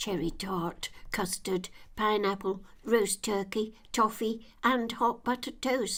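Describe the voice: A woman speaks at a fairly slow pace. Her pitch sits in the medium range.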